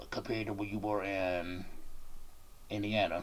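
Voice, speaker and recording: Speaking with an American accent, a man with a fairly low pitch keeps a moderate pace and ordinary pitch variation amid noticeable background noise. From Washington DC. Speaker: YouTuber and rapper interviewing a guest. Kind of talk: casual interview.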